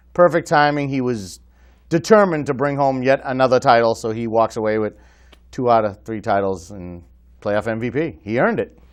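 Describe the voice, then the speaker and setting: At a fairly quick pace, a man with an ordinary speaking voice talks at medium pitch with lively intonation. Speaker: co-host of a sports league show. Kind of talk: casual sports talk show.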